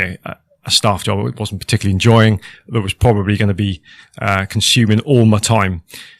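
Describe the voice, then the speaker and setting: A man's fairly low, fairly quick voice with fairly even intonation, dry and close with no echo, on a very clean recording with a silent background. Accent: Welsh. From Wales (Cardiff, the valleys). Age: 40s. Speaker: former military helicopter pilot, business owner. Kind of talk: podcast interview. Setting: hot studio.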